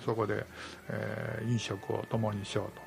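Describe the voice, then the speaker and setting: A man's voice amid noticeable background noise. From Japan, Nantan, Kyoto Prefecture. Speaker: community organizer. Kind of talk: radio interview.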